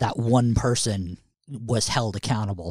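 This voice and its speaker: In an ordinary speaking voice with an American accent, a man talks at medium pitch and a moderate pace, the sound dry and close with no echo on a very clean recording with a silent background. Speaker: podcast host. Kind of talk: casual banter.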